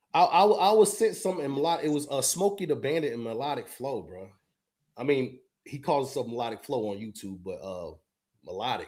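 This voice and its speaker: A man's fairly high voice with vocal fry and very wide pitch swings, at a fairly quick pace, in a very clean recording with a silent background. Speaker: podcast host. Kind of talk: casual chat. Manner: stutters often; animated.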